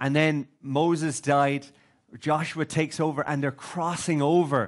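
A man speaks at a moderate pace. His intonation stays fairly even over a quiet background. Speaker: preacher. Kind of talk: sermon. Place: hall.

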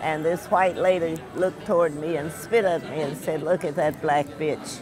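A woman with a fairly low pitch speaks at a moderate pace with fairly even intonation. The sound is dry with no echo, and there is noticeable background noise. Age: 80s+. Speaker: war veteran. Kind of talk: interview. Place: cafe.

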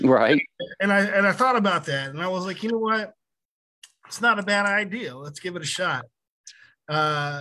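A man speaks in a raised, projected voice with a bright, sharp tone and lively intonation. His pace is moderate, and his loudness swings widely. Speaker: guest. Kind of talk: interview answer. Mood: reflective, candid. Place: home room. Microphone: video call.

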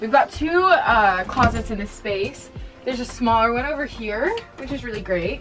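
A woman at a moderate pace with clear music playing in the background. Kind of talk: casual vlog chat. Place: home room. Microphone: camera far.

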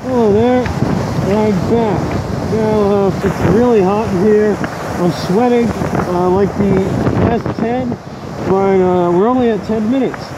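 A man speaks at a fairly slow pace with long, frequent pauses and ordinary pitch variation. The sound is dry with no echo, over loud background noise. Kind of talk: casual vlog commentary. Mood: hot, sweating, slightly strained. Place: beach. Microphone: earbuds.

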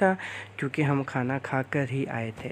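Speaking with fairly even intonation, the man keeps to a fairly slow pace. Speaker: vlogger. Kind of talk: casual vlog chat. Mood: cheerful. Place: cafe. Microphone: phone near.

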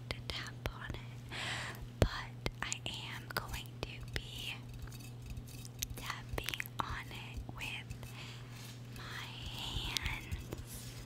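A soft-spoken woman whispers at a very slow pace. Loud background noise runs underneath. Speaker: content creator. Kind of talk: ASMR-style casual vlog chat. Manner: soft ASMR whisper close to mic. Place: home room. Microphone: studio mic.

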